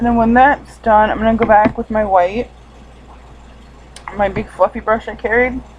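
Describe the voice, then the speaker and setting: With noticeable background noise, a woman talks at a moderate pace in a fairly high pitch, her intonation monotone and flat, broken by long, frequent pauses. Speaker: beauty vlogger. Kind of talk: tutorial. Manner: casual, filler words.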